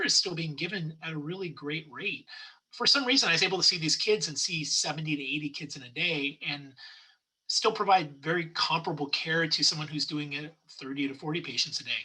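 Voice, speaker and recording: Speaking at a fairly quick pace, a man with an American accent uses a high voice with big swings in loudness. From Southern California. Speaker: pediatric dentist and business founder. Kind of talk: interview conversation. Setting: podcast. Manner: fast.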